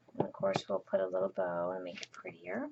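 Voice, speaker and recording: The voice is soft-spoken and keeps a moderate pace. Noticeable background noise runs under it. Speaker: crafting tutorial host. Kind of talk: tutorial.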